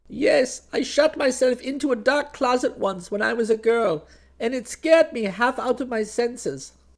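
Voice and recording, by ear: In a put-on character voice, a man speaks at an extremely high pitch with lively intonation. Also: fairly slow pace.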